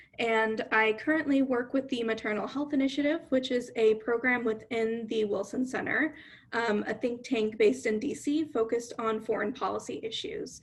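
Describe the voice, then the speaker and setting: A woman with a plain, everyday voice speaks at a fairly high pitch and moderate pace, with ordinary pitch variation and hardly any pauses. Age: young. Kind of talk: panel discussion answer.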